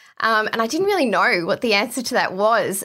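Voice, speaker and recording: A woman speaks with a bright, sharp tone and an Australian accent. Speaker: exercise physiologist. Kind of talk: interview.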